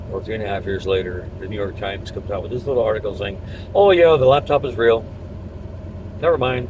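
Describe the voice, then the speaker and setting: A man at a very fast pace with lively intonation, big swings in loudness, long, frequent pauses, and noticeable background noise. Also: medium pitch for a man. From US, Cuban immigrant family. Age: 60s. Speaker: political commentator vlogger. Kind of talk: political opinion monologue. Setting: in a truck at work. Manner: hesitant, many fillers.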